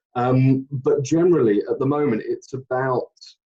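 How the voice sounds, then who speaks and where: With a dark, mellow tone, the man talks at a medium pitch. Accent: British. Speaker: actor, singer and director. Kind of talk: casual interview chat.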